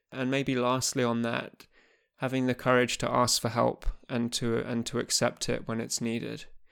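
A man talks at a moderate pace and medium pitch in a monotone, flat intonation, on a very clean recording with a silent background. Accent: English. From England. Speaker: former professional squash player, podcast host. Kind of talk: podcast intro monologue; interview (being interviewed).

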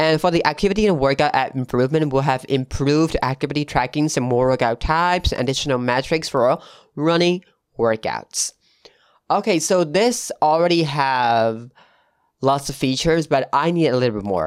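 A man with a non-native accent and a fairly high pitch, at a moderate pace and very even loudness, in a very clean, dry, close recording with no echo and a silent background. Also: ordinary pitch variation. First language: not English. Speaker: tech podcast host. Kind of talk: solo tech news podcast. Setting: home studio with new mic. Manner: casual, with fillers.

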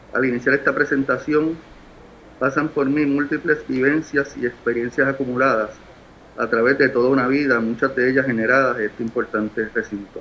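He is a man with an unremarkable speaking voice, keeping a moderate pace and fairly even intonation. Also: medium pitch for a man. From Puerto Rico, San Juan. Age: 50s. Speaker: nominee at senate hearing. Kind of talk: formal testimony. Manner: formal.

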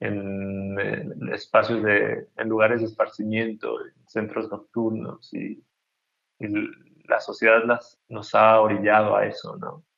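A very slow delivery with big swings in loudness. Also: man. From Mexico, Chiapas (Tuxtla Gutiérrez). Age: 30s. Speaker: painter. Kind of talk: interview. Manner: halting, many repetitions.

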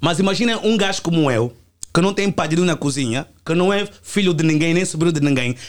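A man with a high voice talks at a fairly quick pace. His loudness stays very even. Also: ordinary pitch variation. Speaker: musician. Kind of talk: heated debate. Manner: animated.

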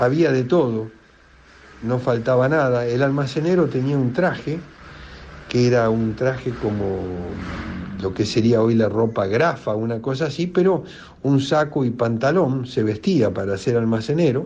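A man at a fairly slow pace, long, frequent pauses, ordinary pitch variation, audible room echo. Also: medium pitch for a man. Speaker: local resident sharing memories. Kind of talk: recorded personal reminiscence.

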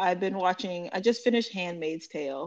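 In an American accent, a woman with an unremarkable speaking voice talks at a moderate pace with lively intonation. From California. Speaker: podcast host, music interviewer. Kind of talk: casual interview.

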